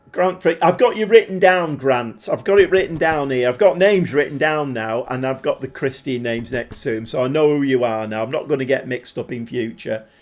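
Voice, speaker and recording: A man speaks with a Mancunian accent. His pitch swings very widely. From Manchester, northern England. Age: 40s. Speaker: gaming live streamer. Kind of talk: casual live stream chat while gaming. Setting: live stream. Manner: casual, chatty with filler words.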